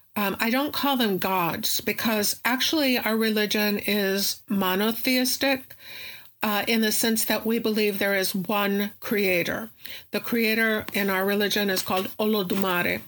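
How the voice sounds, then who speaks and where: A woman with a normal speaking voice talks at a fairly slow pace and a fairly high pitch. Her intonation is fairly even, her loudness is very even, and the recording is very clean against a silent background. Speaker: professor and Santeria practitioner. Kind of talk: interview explanation.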